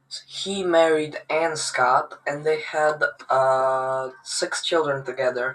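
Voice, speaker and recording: A man speaks at a very slow pace in a fairly high pitch, his tone bright and sharp and his intonation fairly even. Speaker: genealogy youtuber. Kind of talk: casual tutorial. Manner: halting.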